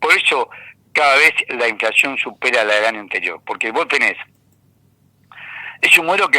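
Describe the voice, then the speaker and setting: A man talks at a fairly quick pace with an Argentine accent. The sound is dry and close, with no echo. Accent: Argentine Spanish (Rioplatense). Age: 70s. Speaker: economist and university lecturer. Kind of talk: radio interview. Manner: animated.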